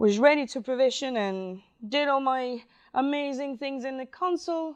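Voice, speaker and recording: The setting around her is quiet. A woman talks in a Spanish accent. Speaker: DevOps specialist. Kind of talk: conference talk. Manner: halting.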